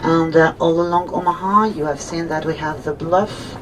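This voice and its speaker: A woman with a French accent speaks at a moderate pace in a fairly low pitch. Her intonation is fairly even, with noticeable background noise behind her. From France, Normandy. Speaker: tour guide. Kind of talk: guided tour commentary.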